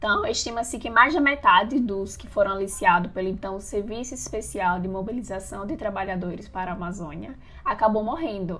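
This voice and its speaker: An unremarkable speaking voice: a woman at medium pitch with ordinary pitch variation talks at a fairly quick pace with hardly any pauses, her loudness swinging widely. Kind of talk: podcast discussion.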